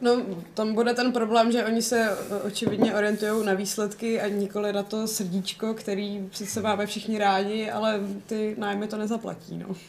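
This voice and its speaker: Over noticeable background noise, a woman speaks at a fairly high pitch. Her intonation is flat and monotone, and her pace moderate. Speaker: podcast co-host. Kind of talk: casual chat.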